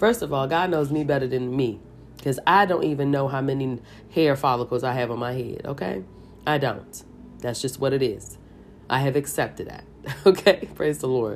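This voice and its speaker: An animated tone with vocal fry at a moderate pace. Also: woman, very deep, low pitch for a woman, ordinary pitch variation. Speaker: Bible reading podcaster. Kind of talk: Bible reading and devotional commentary. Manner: animated, exclamatory.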